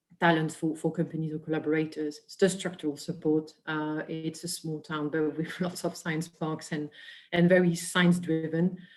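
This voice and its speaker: In a French accent, a woman with a very deep, low pitch speaks at a moderate pace in a monotone, flat intonation, with big swings in loudness. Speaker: biotech industry presenter. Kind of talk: webinar presentation.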